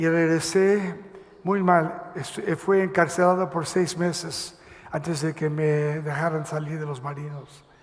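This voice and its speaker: In a high pitch with monotone, flat intonation, a man speaks at a fairly slow pace amid audible room echo and noticeable background noise. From Mexico City, then Los Angeles from age 10. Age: 70s. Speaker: pastor. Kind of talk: testimony. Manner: halting, many fillers.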